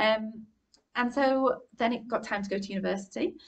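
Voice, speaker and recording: Somewhat breathy, a woman speaks with a northern English accent and fairly even intonation. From northern England, Warrington. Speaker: art curator. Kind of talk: public conversation. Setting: live event with audience.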